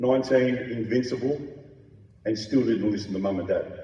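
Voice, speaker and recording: Someone talks at a moderate pace with an Australian accent. Audible room echo fills the recording. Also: man. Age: 60s. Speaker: transplant recipient speaker. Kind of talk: testimony.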